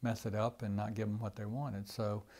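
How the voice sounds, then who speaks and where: A somewhat breathy voice in a Southern US accent, with a dark, mellow tone, fairly even intonation and a moderate pace. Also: man. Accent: Southern American. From Georgia, USA. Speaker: retired Air Force colonel, Vietnam War veteran and former prisoner of war. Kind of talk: interview answer. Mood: reflective, earnest. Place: office. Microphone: lapel.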